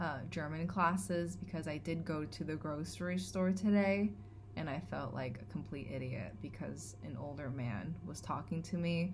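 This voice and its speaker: In a Californian accent, a woman speaks fairly slowly with a very deep, low pitch and vocal fry. Her pitch swings very widely, and the room echoes audibly. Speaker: vlogger. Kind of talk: vlog monologue. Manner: hesitant, many fillers.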